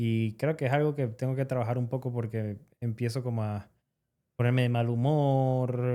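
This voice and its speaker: In a Venezuelan accent, a man speaks with a dark, mellow tone and monotone, flat intonation. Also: medium pitch for a man, moderate pace. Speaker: podcast co-host, roofer. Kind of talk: casual podcast conversation.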